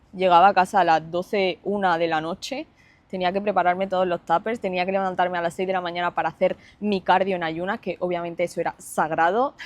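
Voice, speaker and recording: In a quiet background with a dry, close sound and no echo, a woman speaks at a very fast pace with fairly even intonation. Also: medium pitch for a woman. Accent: slight Granada. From Spain, Andalusia (Granada, early childhood Lanzarote). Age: 20s. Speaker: fitness influencer and online coach. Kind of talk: personal storytelling vlog. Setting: seated, self-recorded video.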